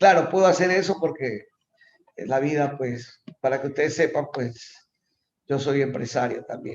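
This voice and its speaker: At a moderate pace, a man with a fairly high pitch uses ordinary pitch variation in an unremarkable speaking voice. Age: 60s. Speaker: professor. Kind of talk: lecture.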